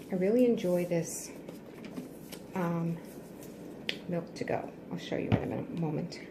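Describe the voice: Whispering and soft-spoken, a woman talks at a slow pace amid audible room echo.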